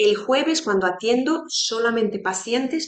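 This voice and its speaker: A woman speaks at a moderate pace with fairly high pitch. She talks with a non-native accent. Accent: non-native Spanish speaker. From Romania. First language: Romanian (speaking Spanish). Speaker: psychologist. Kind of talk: educational talk to fellow therapists.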